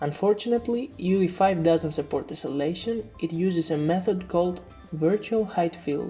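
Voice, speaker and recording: Music plays in the background as a woman speaks at a fairly low pitch and moderate pace with ordinary pitch variation. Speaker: indie game developer. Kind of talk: devlog tutorial narration.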